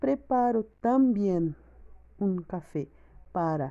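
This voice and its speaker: A woman speaks at a very slow pace in a dark, mellow tone. Her pitch swings very widely. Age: 20s. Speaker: language student, mother. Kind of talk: learner's spoken exercise on daily routine. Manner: careful learner's pace.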